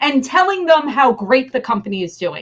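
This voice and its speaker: Speaking in a New Jersey accent, a woman with a high voice sounds animated, her pitch swinging very widely. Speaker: business leader. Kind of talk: interview.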